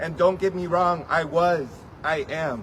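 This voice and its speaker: There is noticeable background noise and audible room echo as a man talks at a fairly high pitch. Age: 20s. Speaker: DACA recipient activist. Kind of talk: testimony.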